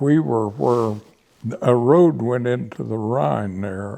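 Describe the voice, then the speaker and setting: Man with an American accent, fairly low pitch, dark and mellow tone, lively intonation, fairly slow pace. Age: 80s+. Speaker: WWII veteran. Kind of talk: interview answer.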